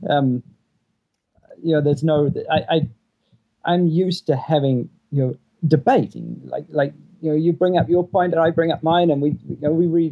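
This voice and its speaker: A man's dark, mellow tone in a New Zealand accent, fairly high in pitch, with fairly even intonation, moderate pace, and long, frequent pauses. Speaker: stay-at-home father. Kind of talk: advice call.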